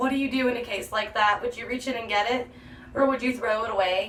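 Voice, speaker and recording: Against noticeable background noise, a woman with a fairly high pitch and ordinary pitch variation speaks at a fairly quick pace. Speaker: beauty vlogger. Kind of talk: makeup tutorial. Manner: chatty.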